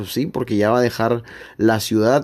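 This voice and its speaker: A man of medium pitch talks at a moderate pace in a very clean recording with a silent background. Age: 20s. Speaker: sports podcast host. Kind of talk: casual sports chat.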